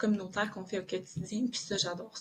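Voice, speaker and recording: A woman's voice, somewhat breathy and at a medium pitch, holds a fairly even intonation. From southern Quebec. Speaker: police officer. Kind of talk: podcast interview. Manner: hesitant, many filler words.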